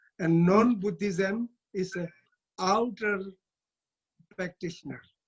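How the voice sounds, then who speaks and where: A man's high-pitched voice, very slow in pace, with fairly even intonation. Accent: Tibetan. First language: Tibetan. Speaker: Tibetan Buddhist abbot and teacher. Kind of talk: dharma talk. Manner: halting.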